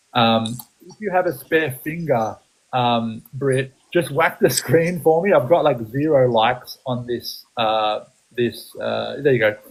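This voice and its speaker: Slow-paced and fairly unhurried, a man with an Australian accent speaks at a medium pitch with ordinary pitch variation and big swings in loudness. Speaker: photography business coach. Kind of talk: live-stream coaching chat. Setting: live stream. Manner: animated; hesitant, many fillers.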